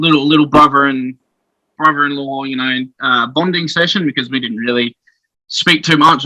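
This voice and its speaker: A man with an Australian accent, bright and sharp in tone, at a fairly quick pace with fairly even intonation, in a dry, close sound with no echo. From South Australia (Adelaide). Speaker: professional wrestler. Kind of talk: casual interview. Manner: hesitant, many fillers.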